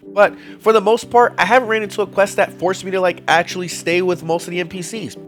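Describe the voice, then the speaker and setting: A high-pitched man talking at a fairly quick pace with music in the background. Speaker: gaming video creator. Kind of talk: casual game tips talk to viewers. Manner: casual, conversational.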